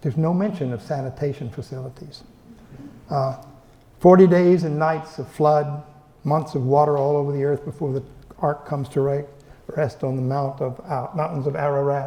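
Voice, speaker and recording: Fairly high for a man, his voice is somewhat breathy with a dark, mellow tone and fairly even intonation. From Texas. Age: 80s+. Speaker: professor. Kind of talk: lecture. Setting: library event room with audience. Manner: halting, many repeated words.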